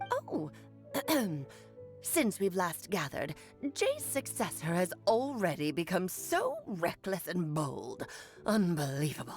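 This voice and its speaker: A woman uses a put-on character voice, fairly low in pitch, at a fairly slow pace with long, frequent pauses. Clear music plays in the background. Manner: haughty, disapproving.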